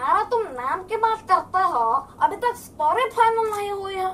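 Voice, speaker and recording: A man uses a put-on character voice with an extremely high pitch at a moderate pace. Clear background noise is present. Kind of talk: stand-up comedy storytelling.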